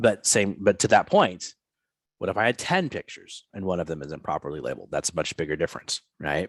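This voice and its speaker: Recorded with a dry, close sound and no echo, a man with a very deep, low pitch talks at a very fast pace. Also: ordinary pitch variation. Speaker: instructor. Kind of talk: lecture. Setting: video call. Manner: halting, many repetitions.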